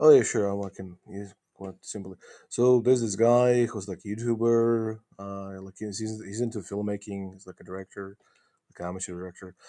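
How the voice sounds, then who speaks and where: With big swings in loudness, a man uses a dark, mellow tone and fairly low pitch, speaking at a moderate pace with fairly even intonation. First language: not English. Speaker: globe earth debater. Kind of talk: debate. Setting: voice chat on a discord server. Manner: halting.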